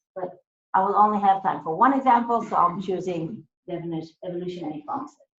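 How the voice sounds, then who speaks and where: A woman talks at a very fast pace with big swings in loudness. Her pitch is medium, with ordinary pitch variation. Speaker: academic speaker. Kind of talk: lecture. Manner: hesitant, many fillers.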